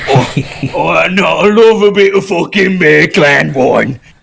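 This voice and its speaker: Here a man does a put-on character voice at a high pitch. His pace is moderate. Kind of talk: casual, profane.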